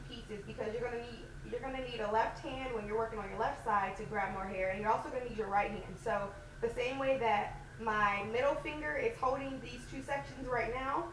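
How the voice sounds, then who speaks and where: A woman speaks loudly at a moderate pace. Audible room echo and noticeable background noise fill the recording. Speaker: natural hair vlogger. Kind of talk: tutorial.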